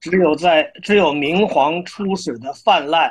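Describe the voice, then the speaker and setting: Speaking at a very slow pace, a man with a high pitch uses ordinary pitch variation. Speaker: poet and publisher. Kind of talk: poetry reading. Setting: online livestream.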